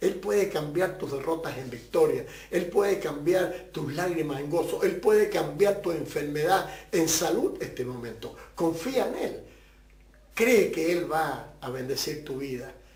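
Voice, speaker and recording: A man speaks at a fairly slow pace in a high pitch with ordinary pitch variation. Audible room echo and noticeable background noise surround his voice. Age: 70s. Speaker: pastor. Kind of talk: testimony.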